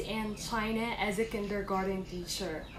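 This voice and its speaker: A woman with a Filipino accent amid noticeable background noise and audible room echo. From Philippines. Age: 20s. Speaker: online English teacher applicant. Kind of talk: casual vlog talk; job interview answers.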